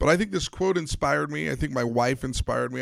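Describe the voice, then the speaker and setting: Over a very clean recording with a silent background, a man with an unremarkable speaking voice talks at a medium pitch and a fairly quick pace. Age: 40s. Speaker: podcast host and sports psychology consultant. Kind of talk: motivational monologue.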